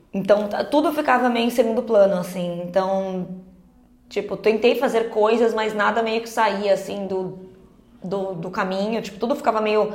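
Big swings in loudness run through this woman's speech. There is audible room echo. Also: medium pitch for a woman, fairly even intonation, moderate pace. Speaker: podcast co-host. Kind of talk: casual chat.

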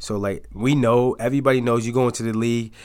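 A man with an American accent and an ordinary speaking voice, medium in pitch, at a moderate pace, in a very clean recording with a silent background. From upstate New York, Auburn. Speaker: college football player. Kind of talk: casual interview.

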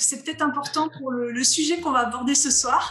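Over music in the background, a woman talks at a fairly quick pace with high pitch and ordinary pitch variation. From northeastern France (Vosges, Alsace). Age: 40s. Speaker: pastor. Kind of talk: interview. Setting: video call.

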